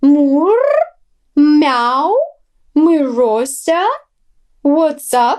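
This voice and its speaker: Pitched high, a woman's voice takes on a put-on character voice. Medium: read story. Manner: meowing while talking.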